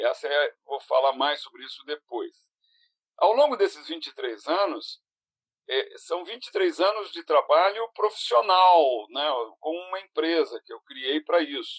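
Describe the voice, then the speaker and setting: A man speaks at a fairly slow pace with big swings in loudness. The sound is dry and close, with no echo. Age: 60s. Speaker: productivity consultant and speaker. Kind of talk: interactive online lecture. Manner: halting, with many fillers and restarts.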